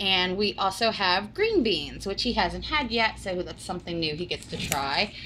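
A woman talks at a moderate pace and medium pitch. Her tone is bright and sharp, with big pitch swings.

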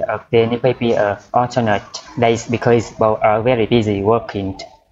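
A man speaks at a medium pitch with flat, monotone intonation. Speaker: IELTS vocabulary tutor on video channel. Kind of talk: tutorial. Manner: halting, many fillers.

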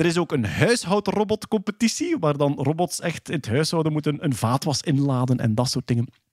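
A man talks at a fairly quick pace with lively intonation and hardly any pauses. His loudness stays very even, and the sound is dry with no echo against a quiet background. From Flanders, Belgium. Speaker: podcast host presenting science news. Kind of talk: casual chat.

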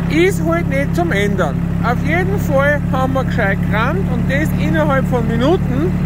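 Fairly slow speech over loud background noise, dry with no echo. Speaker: tractor driver, channel host. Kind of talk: casual vlog commentary. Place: farm machine. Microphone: phone near.

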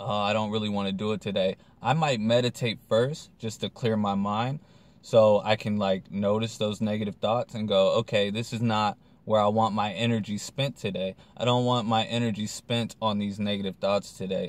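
A man with a fairly low pitch speaks in an ordinary speaking voice at a moderate pace, his intonation fairly even and the sound dry with no echo. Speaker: vlogger. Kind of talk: casual vlog chat. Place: car. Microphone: phone near.

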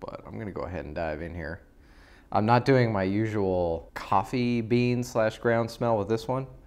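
A man talks at a moderate pace with a fairly low pitch. His loudness swings a lot. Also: ordinary pitch variation. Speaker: coffee reviewer. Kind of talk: casual vlog chat. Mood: relaxed, appreciative. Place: home room. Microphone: lapel.

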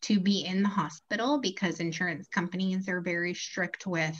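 Ordinary pitch variation from a woman, set against a quiet background. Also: moderate pace. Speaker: guest. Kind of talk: interview answer. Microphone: video call.

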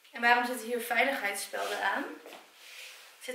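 A woman with a high-pitched voice speaks over light background noise, with audible room echo. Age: 20s. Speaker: YouTuber. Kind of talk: casual vlog. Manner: animated. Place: home room. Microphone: camera far.

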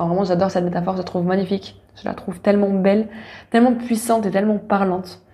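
Very fast and somewhat breathy, a woman speaks at medium pitch with a dark, mellow tone and monotone, flat intonation. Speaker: podcast host, spiritual wellness coach. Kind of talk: casual personal monologue. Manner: hesitant, many fillers.

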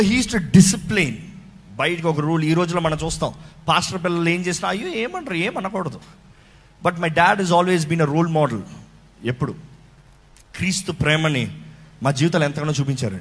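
A man speaks with a high pitch that varies in an ordinary way. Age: 30s. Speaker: pastor. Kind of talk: testimony.

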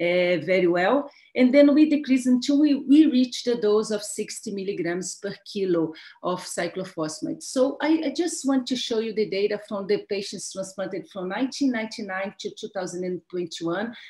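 A woman's fairly high, somewhat breathy voice in a Brazilian accent, dark and mellow in tone, with very wide pitch swings, a fairly slow pace and a quiet background. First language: Portuguese. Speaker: pediatric transplant physician and professor; medical professor presenting. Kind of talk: lecture. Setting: webinar. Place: home room.

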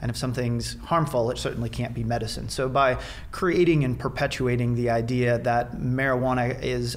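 With a Midwestern American accent, a man speaks at a fairly quick pace. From south central Nebraska. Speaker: biology professor and veterinarian; interview guest. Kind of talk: interview, explanatory. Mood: earnest, measured. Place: office. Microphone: studio mic.

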